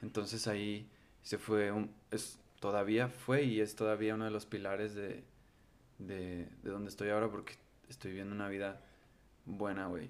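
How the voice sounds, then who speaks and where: In a Mexican accent, a man talks at a moderate pace with fairly low pitch and flat, monotone intonation, leaving long, frequent pauses. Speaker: musician. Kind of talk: casual chat.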